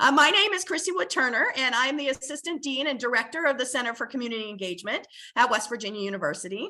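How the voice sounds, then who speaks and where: Her voice is raised and projected, with a bright, sharp tone. The woman moves at a fairly quick pace with lively intonation. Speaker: university administrator and moderator. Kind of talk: webinar moderation. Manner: hesitant, many fillers.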